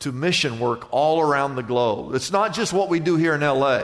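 A man's voice over noticeable background noise. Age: 60s. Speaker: pastor. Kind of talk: sermon.

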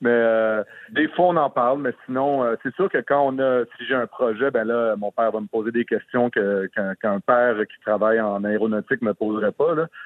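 At a moderate pace, a man talks in an unremarkable speaking voice with a medium pitch and ordinary pitch variation. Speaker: actor. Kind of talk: interview. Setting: phone call.

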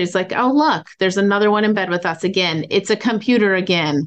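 At a fairly quick pace, an ordinary speaking voice uses ordinary pitch variation. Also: woman. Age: 40s. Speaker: company CEO and founder. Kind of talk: interview.

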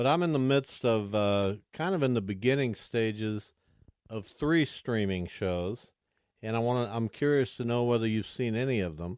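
With an American accent, a man at medium pitch and moderate pace has a plain, everyday voice, captured on a very clean recording with a silent background. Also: ordinary pitch variation. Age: 60s. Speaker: sports radio host. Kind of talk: casual radio talk. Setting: studio.

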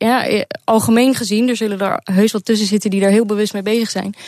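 The speaker is a woman with a medium pitch. Her intonation is monotone and flat. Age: 20s. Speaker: programmer. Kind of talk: radio interview.

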